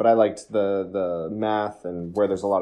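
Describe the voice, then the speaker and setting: With an American accent, a man speaks at a fairly low pitch and a moderate pace in a plain, everyday voice. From United States.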